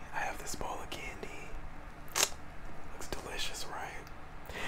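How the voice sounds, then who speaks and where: A man speaks at a fairly slow pace. Loud noise fills the background. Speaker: ASMR creator. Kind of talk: ASMR eating video talk to camera. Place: home room. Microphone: lapel.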